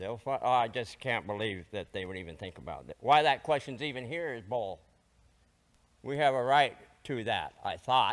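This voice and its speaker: Speaking at a moderate pace, a man with a medium pitch shows vocal fry and big swings in loudness. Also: lively intonation. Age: 70s. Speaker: political candidate. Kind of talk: debate. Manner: heated.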